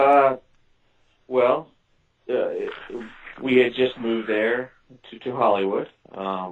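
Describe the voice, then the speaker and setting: A man speaks at a very slow pace with a slight southern Illinois accent, fairly even intonation, and long, frequent pauses. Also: medium pitch for a man. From US Midwest, southern Illinois. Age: 40s. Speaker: author and witness. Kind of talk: interview. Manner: halting.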